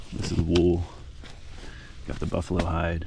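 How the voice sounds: A man speaks at a low pitch with vocal fry and a slightly mellow tone. His intonation is monotone and flat, at a fairly slow pace.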